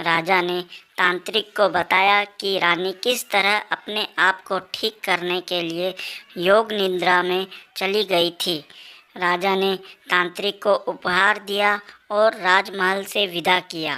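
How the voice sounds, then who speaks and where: A female-sounding cartoonish character voice at medium pitch moves along at a fairly slow pace. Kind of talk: bedtime story.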